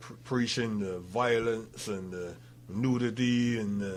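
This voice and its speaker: With a Barbadian accent, a man speaks at a medium pitch with fairly even intonation amid audible room echo. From Barbados. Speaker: author. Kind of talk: radio interview.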